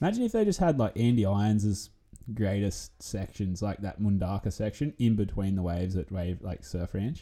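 Recorded very cleanly against a silent background, a man with an Australian accent speaks at fairly low pitch, with ordinary pitch variation and a moderate pace. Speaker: surf commentator guest. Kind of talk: casual chat. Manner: loud.

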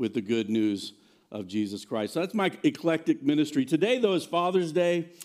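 With an American accent, a man talks at a moderate pace in a fairly high pitch, an ordinary speaking voice on a very clean recording with a silent background. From Virginia. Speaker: pastor. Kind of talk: sermon. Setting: church.

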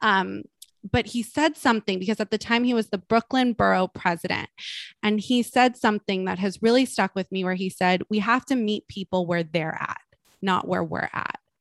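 A woman speaks at a medium pitch and moderate pace with ordinary pitch variation, in a plain, everyday voice. The sound is dry and close with no echo, over a quiet background. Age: 30s. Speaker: health coach and podcaster. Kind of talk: casual chat.

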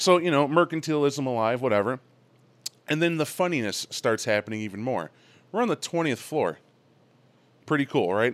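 A fairly high-pitched man talks at a fairly quick pace with lively intonation. Long, frequent pauses break up his speech. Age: 30s. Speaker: gamer returning from a convention. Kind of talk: casual chat.

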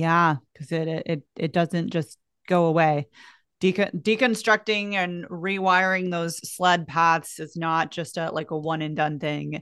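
In a plain, everyday voice, the speaker talks at a fairly slow pace with fairly even intonation against a quiet background. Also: woman, fairly low pitch for a woman. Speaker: podcast host. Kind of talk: interview conversation. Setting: video call.

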